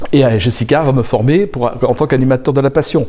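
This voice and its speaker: Noticeable background noise runs under this clip. A man with a medium pitch talks at a fairly quick pace. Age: 60s. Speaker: aspiring coach. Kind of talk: interview. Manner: halting.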